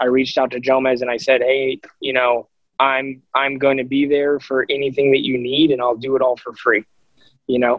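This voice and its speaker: In a monotone, flat intonation, a man speaks at medium pitch. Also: moderate pace. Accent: American. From Arizona. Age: 30s. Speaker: professional disc golfer. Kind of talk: casual interview.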